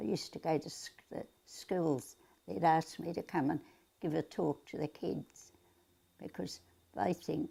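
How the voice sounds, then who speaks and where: Speaking at a fairly slow pace, a woman talks with an Australian accent. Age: 80s+. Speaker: centenarian interviewee. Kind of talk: interview reminiscence.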